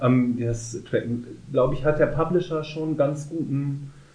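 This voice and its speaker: The voice has a dark, mellow tone, a somewhat breathy quality and lively intonation. Audible room echo surrounds it. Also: man. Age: 30s. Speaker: podcast co-host. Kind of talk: casual chat.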